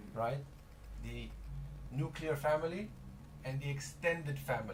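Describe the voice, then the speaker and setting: Audible room echo surrounds a man with a somewhat breathy, fairly high voice. His pace is moderate. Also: ordinary pitch variation. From DR Congo. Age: 30s. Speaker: startup representative. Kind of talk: radio interview. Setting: studio.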